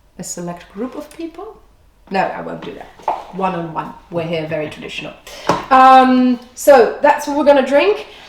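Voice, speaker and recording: A woman with a high pitch speaks at a moderate pace, making very wide pitch swings and big swings in loudness, with long, frequent pauses and noticeable background noise. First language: Dutch. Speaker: food and drink host. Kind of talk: presentation to camera.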